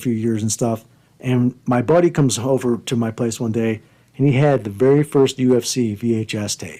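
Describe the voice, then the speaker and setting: A man's medium-pitched voice, dark and mellow, with ordinary pitch variation at a moderate pace. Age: 50s. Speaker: podcast host and wrestling coach. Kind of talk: casual chat.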